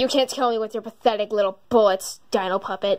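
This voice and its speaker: A cartoonish character voice sounds female and sits at a fairly high pitch. It moves at a fairly quick pace. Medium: puppet show. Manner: menacing, gloating.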